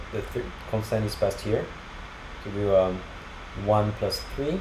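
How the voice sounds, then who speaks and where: With audible room echo and noticeable background noise, a man talks fairly slowly. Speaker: programming tutorial creator. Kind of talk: screencast coding tutorial. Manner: halting, many fillers.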